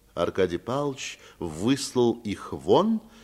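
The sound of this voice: Reading in an unforced voice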